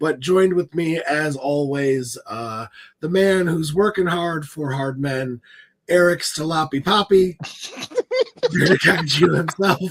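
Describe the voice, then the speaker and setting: The speaker goes at a very slow pace, with long, frequent pauses. Pitch varies in an ordinary way. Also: man. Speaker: podcast host. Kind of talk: casual chat. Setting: live stream.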